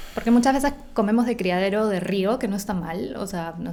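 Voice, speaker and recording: Her fairly quick delivery comes with a fairly high pitch as the woman talks. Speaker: nutritionist. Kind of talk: interview. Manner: fast.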